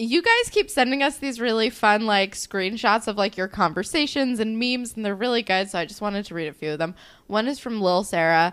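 A woman with a New Jersey accent, a fairly quick pace and lively intonation. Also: fairly high pitch for a woman, hardly any pauses. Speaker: podcast co-host. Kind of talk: casual podcast chat.

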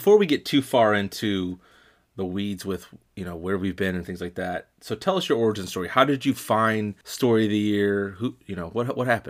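In a very clean recording with a silent background, a man with an ordinary speaking voice talks at a fairly quick pace and a fairly low pitch, with ordinary pitch variation. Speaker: podcast co-host. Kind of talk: casual comedy podcast chat.

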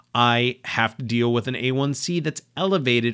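Here a man uses an ordinary speaking voice at medium pitch with lively intonation. The recording is very clean, with a silent background. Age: 40s. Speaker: podcast host, writer and blogger. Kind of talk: solo monologue podcast.

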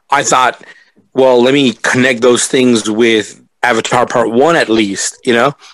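A man with an American accent uses a normal speaking voice at a medium pitch, talking at a fairly slow pace with very even loudness and fairly even intonation. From California. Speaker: podcaster. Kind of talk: casual group podcast discussion.

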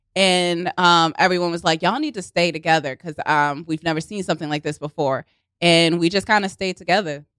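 With a Baltimore accent, a woman talks at a fairly quick pace at a fairly low pitch, and the sound is dry and close with no echo. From Baltimore, Maryland. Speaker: improv comedian and actress. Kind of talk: casual chat. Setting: studio. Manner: animated.

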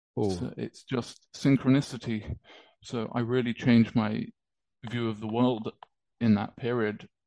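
In a British accent, a man speaks at a fairly slow pace with long, frequent pauses, a dark, mellow tone, medium pitch and fairly even intonation, the sound dry and close with no echo against a quiet background. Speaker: musician and crypto enthusiast. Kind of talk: casual interview chat.

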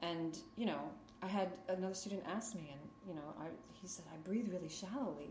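Audible room echo and noticeable background noise surround a woman speaking with an American accent. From Queens, New York. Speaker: yoga teacher. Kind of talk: interview. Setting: home yoga studio.

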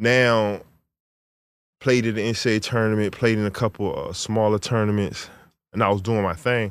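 A man's medium-pitched voice with fairly even intonation and a moderate pace, on a very clean recording with a silent background. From Virginia, US (Chesapeake). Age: 30s. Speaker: professional basketball player and rapper. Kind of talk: casual interview.

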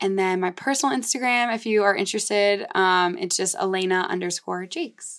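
The woman's voice sits at a medium pitch, moving at a fairly quick pace with hardly any pauses. The recording is very clean, with a silent background. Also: ordinary pitch variation. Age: 20s. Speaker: podcast host and social media business owner. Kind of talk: casual chat. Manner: animated.

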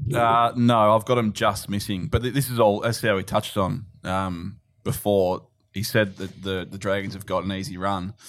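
A fairly low-pitched man with an Australian accent, a moderate pace and fairly even intonation. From Melbourne, Australia. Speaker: betting trader. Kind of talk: casual chat.

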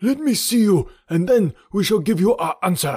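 Putting on a character voice, a man talks at a moderate pace with a high pitch and lively intonation. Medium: read story.

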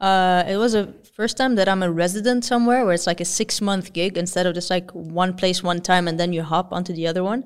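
A woman speaks in an energetic tone at a fairly quick pace. The recording is very clean, with a silent background. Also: medium pitch for a woman, hardly any pauses. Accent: Arabic. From Lebanon. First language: Arabic. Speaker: electronic musician and producer. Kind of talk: casual interview.

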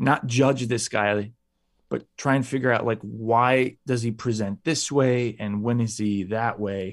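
Against a quiet background, a man with a Chicago accent talks fairly slowly at a medium pitch with fairly even intonation. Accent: Chicago American. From Chicago, US. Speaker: actor. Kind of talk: interview.

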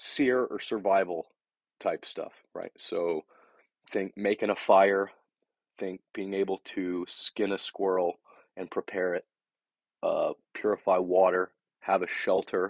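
The speech comes at a fairly slow pace with long, frequent pauses, in a dry, close sound with no echo. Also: man. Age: 30s. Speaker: podcast host, army veteran. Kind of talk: casual monologue.

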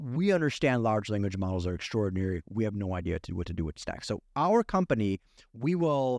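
Animated in tone, a man with a medium pitch talks fairly quickly with very wide pitch swings, his sound dry and close with no echo against a quiet background. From Ukraine, moved to US as a child. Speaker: cloud architect. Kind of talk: interview.

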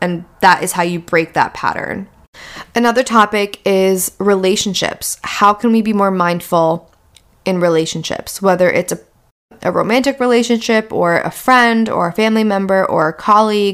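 At a moderate pace, a woman with an ordinary speaking voice talks at a medium pitch that varies in an ordinary way. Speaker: podcast host. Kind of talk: solo podcast monologue.

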